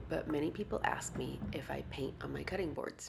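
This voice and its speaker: A soft-spoken woman talks at a moderate pace. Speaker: woodworker. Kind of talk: soft-spoken ASMR tutorial narration.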